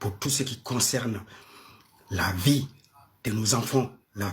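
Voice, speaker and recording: With a Malian accent, a man speaks at medium pitch, somewhat breathy, his intonation fairly even. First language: Bambara (speaking French). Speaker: live-stream panel host. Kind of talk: live-stream talk. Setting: live stream with audience. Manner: hesitant, many fillers.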